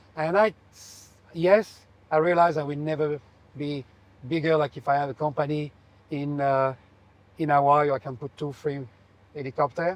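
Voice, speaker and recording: A man with a French accent speaks in a fairly high voice at a moderate pace, with fairly even intonation and long, frequent pauses. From France. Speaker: aviation company owner. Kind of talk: interview. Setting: aboard a private jet.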